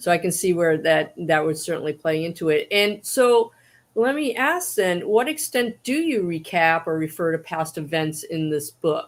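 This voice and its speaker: A woman with an American accent and lively intonation, recorded very cleanly with a silent background. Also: fairly low pitch for a woman, moderate pace. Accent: Boston accent, comes out. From Boston. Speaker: moderator of author Q&A. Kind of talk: livestream interview. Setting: livestream.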